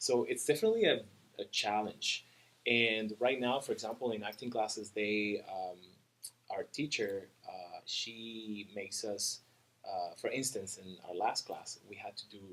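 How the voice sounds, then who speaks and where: Big swings in loudness from a man speaking at a fairly slow pace. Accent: Spanish. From Cuba, Havana. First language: Spanish. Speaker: dancer, model and actor. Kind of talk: interview. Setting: studio. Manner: halting.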